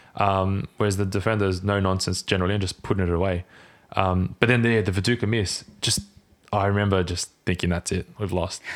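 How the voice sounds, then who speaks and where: A man in an Australian accent, very deep and low in pitch, fairly quick, with monotone, flat intonation. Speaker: football fan guest. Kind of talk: casual chat.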